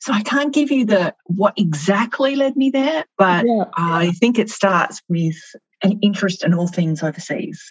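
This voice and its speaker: Speaking at a moderate pace, a woman with an Australian accent and a somewhat breathy, medium-pitched voice moves through very wide pitch swings. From Melbourne, Australia. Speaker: marketing executive. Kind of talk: interview.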